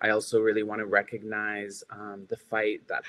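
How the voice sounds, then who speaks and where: A man talks at a fairly slow pace with a fairly low pitch. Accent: Canadian. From Yukon, Canada. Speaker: filmmaker and HIV activist; panelist. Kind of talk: panel discussion. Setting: video call. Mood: earnest, respectful. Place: home room. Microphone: webcam.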